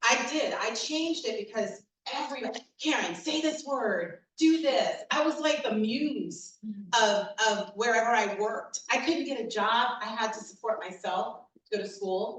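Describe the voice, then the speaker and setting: A woman with an American accent speaks at a moderate pace in a fairly high pitch. Her tone is animated and her intonation lively. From New York City, the Bronx. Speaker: diversity and inclusion consultant. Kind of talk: keynote talk.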